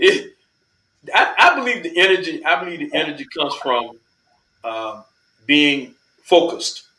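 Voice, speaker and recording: A man at a moderate pace, with big swings in loudness and long, frequent pauses. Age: 60s. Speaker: mobile car detailing business owner. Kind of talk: interview. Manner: repetitive, halting starts.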